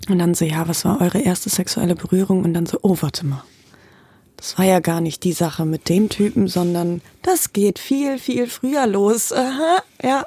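Somewhat breathy and dark, mellow in tone, a woman's medium-pitched voice moves at a moderate pace with lively intonation. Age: 20s. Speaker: costume designer. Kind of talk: casual chat. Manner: animated.

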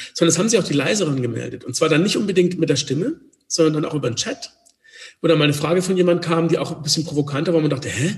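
Talking very fast, a man uses a fairly high voice with ordinary pitch variation. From Swabia, near Stuttgart. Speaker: communication coach and former actor. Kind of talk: interview conversation.

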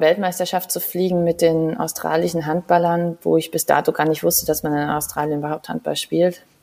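A woman's fairly low voice in a flat monotone. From Saarland, Germany. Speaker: physiotherapist, former handball athlete. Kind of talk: casual interview. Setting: video call from her living room.

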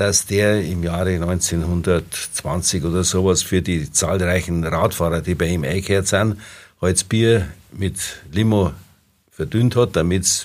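A man with a very deep, low voice speaks at a fairly slow pace, with ordinary pitch variation and vocal fry. The recording is very clean, with a silent background. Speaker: dialect expert and professor. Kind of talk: casual expert chat.

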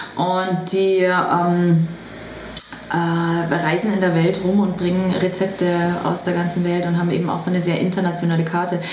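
Monotone, flat delivery at a moderate pace with very even loudness, audible room echo and noticeable background noise. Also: woman, fairly low pitch for a woman. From Bavaria, Traunstein. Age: 40s. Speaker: vegetarian restaurant owner. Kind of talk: interview. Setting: restaurant.

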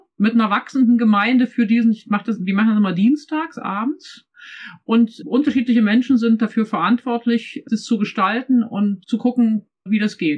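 Speaking at a moderate pace, a woman has a fairly high, somewhat breathy voice with ordinary pitch variation and very even loudness. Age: 50s. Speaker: pastor and church development consultant. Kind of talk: casual discussion.

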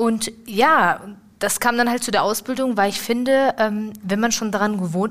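Moderately paced speech from a woman with a fairly high pitch and fairly even intonation. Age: 20s. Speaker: apprentice in dialogue marketing. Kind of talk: casual interview. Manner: halting.

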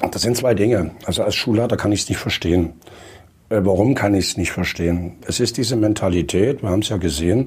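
A man talks at a fairly quick pace in a plain, everyday voice with a fairly low pitch. His loudness stays very even, and his pitch variation is ordinary. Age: 60s. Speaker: school principal and former state education minister. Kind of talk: panel discussion.

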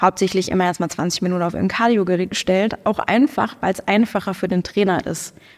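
Fairly quick, medium-pitched woman's speech with hardly any pauses and fairly even intonation. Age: 30s. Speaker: powerlifter and sports club co-founder. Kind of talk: casual interview. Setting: studio.

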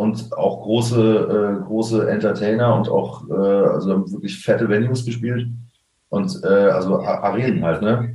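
Speaking at a very slow pace, a man with a medium pitch shows ordinary pitch variation, with audible room echo. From Germany, Koblenz-Westerwald region. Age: 30s. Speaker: drummer. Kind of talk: casual interview. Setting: video call.

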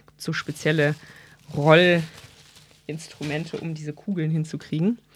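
A woman's fairly low-pitched voice with fairly even intonation at a moderate pace. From Rhineland, Germany (Bonn). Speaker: physician. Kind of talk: casual interview. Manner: hesitant, many filler sounds.

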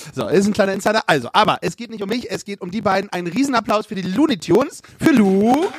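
Delivered at a very fast pace with hardly any pauses, the lively speech swings widely in loudness, the sound dry and close with no echo but with noticeable background noise. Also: man, high pitch for a man. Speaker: podcast host. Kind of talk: live podcast moderation. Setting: stage with audience. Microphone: crackling audio track.

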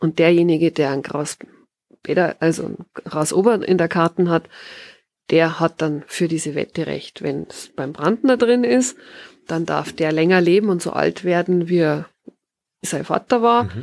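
A woman with a Bavarian accent speaks at a fairly slow pace and fairly low pitch, her intonation lively. She leaves long, frequent pauses, and the sound is dry and close with no echo. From Bavaria, Tegernsee valley. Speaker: author and forest bathing guide. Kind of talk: interview. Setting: garden hut with wood stove.

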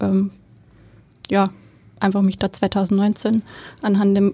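Very slowly, a woman with a slight Bavarian accent and a dark, mellow tone speaks on a very clean recording with a silent background and a dry, close sound with no echo. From Bavaria, Germany. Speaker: head of theatre make-up department. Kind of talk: casual interview. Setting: studio. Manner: hesitant, many fillers.

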